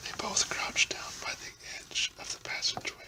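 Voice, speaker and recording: Whispering at a fairly slow pace, a man is heard against noticeable background noise. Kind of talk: fiction reading aloud, science fiction chapter. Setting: home, at a microphone in his house. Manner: whispered, soft-spoken.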